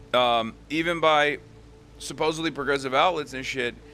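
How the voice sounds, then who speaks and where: Music plays behind a man speaking at a fairly slow pace. His fairly high voice stays monotone, with flat intonation. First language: not English. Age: 30s. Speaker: livestreamer. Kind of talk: casual livestream monologue. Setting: livestream.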